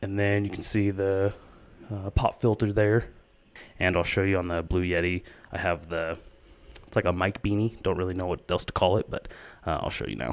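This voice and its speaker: A man's very deep, low voice at a moderate pace, with fairly even intonation and long, frequent pauses. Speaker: gaming streamer and YouTuber. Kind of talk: equipment walkthrough. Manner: loud; casual, with fillers.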